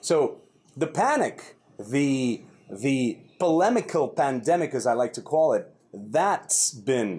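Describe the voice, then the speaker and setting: Lively intonation marks this man's delivery. He talks at a very slow pace. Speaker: vlog host. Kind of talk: commentary. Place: garden. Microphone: lapel.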